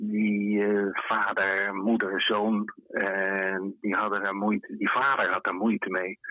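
A man speaks at a very slow pace. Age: 70s. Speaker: photographer. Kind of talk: interview. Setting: phone call. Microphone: difficult connection.

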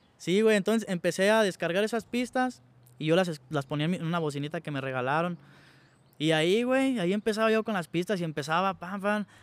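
Recorded very cleanly against a silent background, with a dry, close sound and no echo, a man with a high pitch talks at a fairly quick pace with lively intonation. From Mexico, Michoacán (Santa Clara de Valladares). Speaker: rapper. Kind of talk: casual interview chat.

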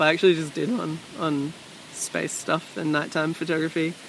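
A soft-spoken man mumbles at a fairly quick pace and a fairly high pitch. Noticeable background noise is present. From Sydney, Australia. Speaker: musician and creative. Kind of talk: casual interview chat. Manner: soft-spoken, mumbly.

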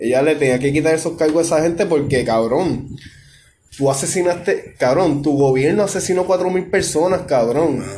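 With a Puerto Rican accent, a man talks fairly slowly in a somewhat breathy voice with ordinary pitch variation, and the room echo is audible. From Puerto Rico, Ponce. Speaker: podcast host. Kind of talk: casual chat.

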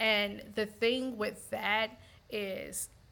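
This woman has a medium pitch and a bright, sharp tone, speaking with an American accent. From US South, Montgomery, Alabama. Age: 40s. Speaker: teacher and gym member. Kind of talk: casual discussion.

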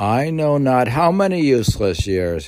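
This man's speech is very slow. Noticeable noise fills the background. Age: 60s. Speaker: solo podcaster reading classic literature. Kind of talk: reading aloud with personal commentary. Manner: halting, many filler sounds.

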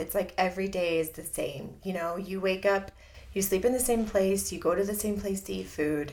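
A woman with an American accent uses an ordinary speaking voice at a medium pitch, keeping a moderate pace and ordinary pitch variation. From Southern California. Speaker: church member and navy veteran. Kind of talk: testimony.

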